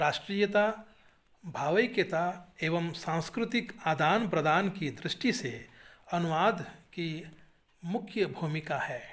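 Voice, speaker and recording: Long, frequent pauses break up this man's speech, which carries a Kannada accent. His pitch is high for a man, with ordinary pitch variation. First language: Kannada (speaking Hindi). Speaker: Hindi teacher and writer. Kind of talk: webinar talk. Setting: online webinar. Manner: formal.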